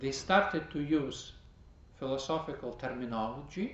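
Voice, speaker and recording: Vocal fry and lively intonation come through at a fairly slow pace, with audible room echo. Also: man. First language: not English. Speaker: priest teaching a class. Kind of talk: lecture. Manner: halting.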